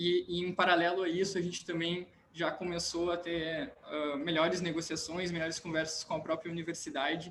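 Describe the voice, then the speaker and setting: A man speaks at a high pitch in a monotone, flat intonation. Noticeable background noise runs underneath. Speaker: civil engineering student, junior enterprise founder. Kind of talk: panel discussion. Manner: fast; halting, many repetitions.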